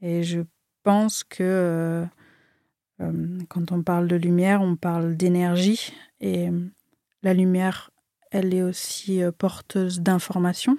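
On a very clean recording with a silent background, a woman with a fairly low, dark, mellow voice speaks in a flat monotone at a very slow pace. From France, Marseille (from age 6). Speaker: artist. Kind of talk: interview conversation. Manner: halting, many hesitations.

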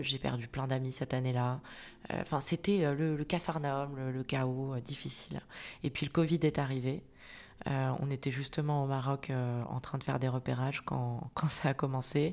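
A woman with a very deep, low voice keeps fairly even intonation on a very clean recording with a silent background. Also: moderate pace. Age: 30s. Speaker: clinical psychologist and coach. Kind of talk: personal testimony. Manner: halting.

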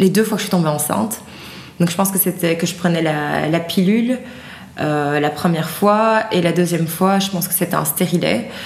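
Audible room echo surrounds a woman whose voice sits at a fairly low pitch. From Belgium (from age 8), Haitian-Dutch background. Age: 30s. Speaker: activist and digital communications worker, mother. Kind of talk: interview testimony. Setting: at her home.

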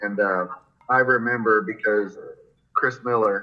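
The speaker is a man with a Florida accent. His pitch sits in the medium range. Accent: American, Florida. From Florida, Jacksonville. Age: 40s. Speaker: skateboarding coach, former pro skater. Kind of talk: casual interview.

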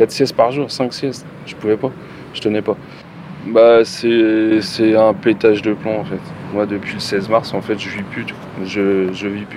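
Noticeable background noise runs under a man's fairly low voice. He speaks at a fairly slow pace with fairly even intonation and long, frequent pauses. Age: 40s. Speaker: factory worker, injured protester. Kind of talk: testimony.

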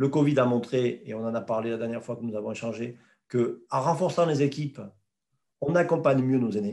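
A man talks fairly quickly at a medium pitch in a dark, mellow tone with ordinary pitch variation. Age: 50s. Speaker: president of a federation of elderly care home directors. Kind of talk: interview. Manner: halting, many repetitions.

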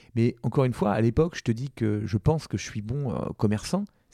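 In a medium-pitched voice with a dark, mellow tone, a man talks at a fairly quick pace with ordinary pitch variation, captured dry and close with no echo on a very clean recording with a silent background. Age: 40s. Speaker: entrepreneur. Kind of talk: interview. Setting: office. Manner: hesitant.

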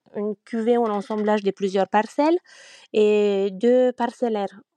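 In a Romanian accent, a woman talks at a very slow pace with a fairly high pitch and a dark, mellow tone, her sound dry and close with no echo against a quiet background. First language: Romanian (speaking French). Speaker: winegrower. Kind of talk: interview. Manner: hesitant.

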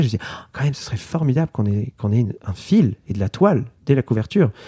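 Very fast and somewhat breathy, a man speaks with lively intonation and a dark, mellow tone. The sound is dry and close, with no echo. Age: 30s. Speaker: illustrator. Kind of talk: interview. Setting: artist's studio. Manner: hesitant with fillers.

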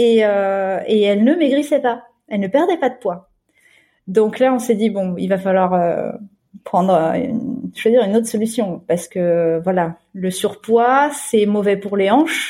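A woman's medium-pitched voice, dark and mellow in tone, at a fairly slow pace. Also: lively intonation. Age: 20s. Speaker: nanny and volunteer puppy raiser for guide dogs. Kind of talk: interview testimony.

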